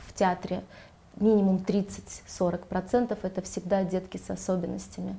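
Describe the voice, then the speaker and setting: A woman is talking. Her pitch is medium. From Riga, Latvia (born in Ganja, Azerbaijan). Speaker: children's theatre director and drama teacher. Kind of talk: interview. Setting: hotel, filmed studio-style.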